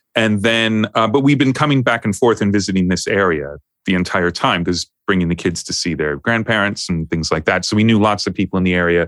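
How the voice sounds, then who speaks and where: A man with a New York accent, fairly low in pitch, fairly quick in pace, with ordinary pitch variation and a dry, close sound with no echo on a very clean recording over a silent background. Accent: New York American. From US, New York. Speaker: music producer and mix engineer. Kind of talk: casual interview chat.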